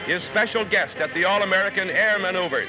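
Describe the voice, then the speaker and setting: With music in the background, a man with a high pitch speaks in a raised, projected voice at a moderate pace. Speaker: newsreel narrator. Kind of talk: 1940s newsreel narration.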